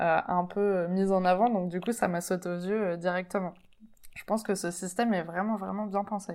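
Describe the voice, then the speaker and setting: In a very clean recording with a silent background, the voice moves at a moderate pace with flat, monotone intonation. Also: woman. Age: 30s. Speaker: podcast host. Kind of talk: interview. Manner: halting.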